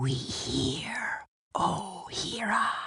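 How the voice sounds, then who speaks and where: A put-on character voice, whispering and growling. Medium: audio drama. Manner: whispering, groveling.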